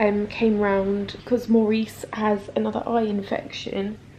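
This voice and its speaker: A woman speaks at a fairly slow pace in a monotone, flat intonation. Noticeable background noise is present. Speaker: lifestyle vlogger. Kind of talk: casual vlog talk. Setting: at home.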